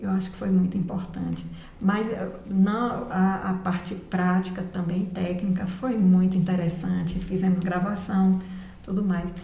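A woman of medium pitch talks at a fairly slow pace in a monotone, flat intonation. Audible room echo and noticeable background noise fill the recording. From Bahia, Brazil (Barreiras). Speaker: retired music teacher. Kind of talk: casual interview.

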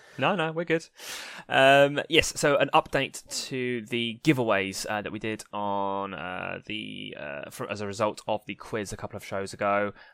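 On a very clean recording with a silent background, a man with a normal speaking voice and a fairly low pitch talks at a moderate pace, with lively intonation and big swings in loudness. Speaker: podcast co-host. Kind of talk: casual chat.

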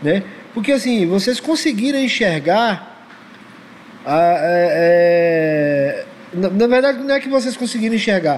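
A man with a high pitch speaks at a fairly slow pace, his pitch swinging very widely. Long, frequent pauses break his speech, and background noise is noticeable. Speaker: podcast host. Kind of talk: casual chat.

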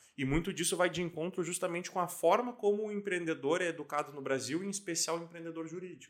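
This man speaks at a very fast pace with a high pitch. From Santa Catarina, Brazil (Lages). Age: 20s. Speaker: lawyer and legal tech entrepreneur. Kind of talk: casual interview.

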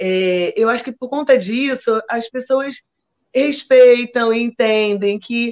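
Speaking at a very slow pace, a woman with a fairly high pitch is heard in a dry, close recording with no echo. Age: 50s. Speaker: samba school flag bearer. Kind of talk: interview. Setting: video call from home sofa. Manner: animated.

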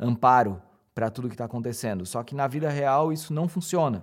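In a very clean recording with a silent background, a man talks at a medium pitch with ordinary pitch variation in a plain, everyday voice. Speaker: audiovisual producer and speaker. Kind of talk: casual interview.

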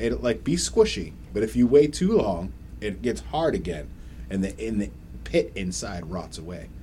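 This man has a very deep, low pitch with vocal fry and a dark, mellow tone. His pitch swings very widely at a moderate pace. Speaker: podcast host. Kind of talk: casual chat. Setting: studio.

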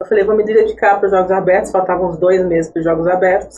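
Talking very fast, a woman keeps a medium pitch and a monotone, flat intonation. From born in Iraq, raised in São José, Brazil. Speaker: track cyclist. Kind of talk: podcast interview.

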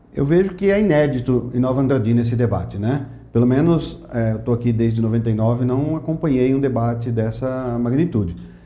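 There's audible room echo around this man's voice. He speaks in a dark, mellow tone at medium pitch and a moderate pace. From Mato Grosso do Sul, Brazil (Aquidauana). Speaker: economics professor and Rotary member. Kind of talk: interview.

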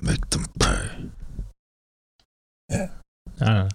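A man puts on a character voice, pitched fairly low. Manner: menacing.

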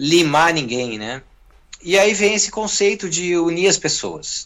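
With lively intonation, an ordinary speaking voice proceeds rather slowly. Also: man. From southern Brazil (Rio Grande do Sul). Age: 40s. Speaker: guitarist and music producer. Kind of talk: interview.

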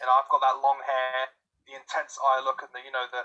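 A man speaks at a moderate pace. He has a British accent. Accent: British, sometimes taken for Australian. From England. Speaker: voice actor and writer. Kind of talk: casual chat. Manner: hesitant, many fillers.

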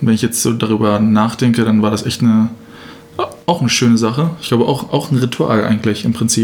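A man with fairly even intonation speaks at a fairly quick pace amid noticeable background noise. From Germany, Braunschweig. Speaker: podcast co-host, student. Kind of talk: casual chat. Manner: halting, many fillers and repetitions.

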